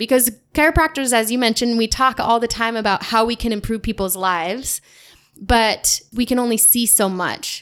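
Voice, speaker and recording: At a moderate pace, the speaker uses ordinary pitch variation with an American accent. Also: woman, fairly high pitch for a woman. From eastern Washington, US. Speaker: chiropractor. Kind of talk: podcast interview.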